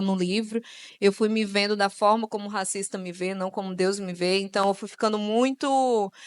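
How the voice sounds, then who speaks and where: A woman's voice at a medium pitch. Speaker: author and speaker on racism. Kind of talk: panel talk / interview at a church event. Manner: casual, with many filler words.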